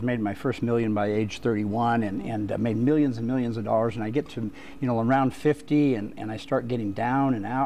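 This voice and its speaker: A man's medium-pitched voice at a very fast pace over noticeable background noise. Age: 60s. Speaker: author. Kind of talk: TV interview. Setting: studio. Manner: halting, with frequent restarts.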